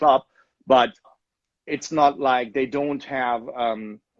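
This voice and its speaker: A man with a German accent speaks with fairly even intonation. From Germany, Leverkusen. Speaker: soccer club owner. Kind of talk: interview.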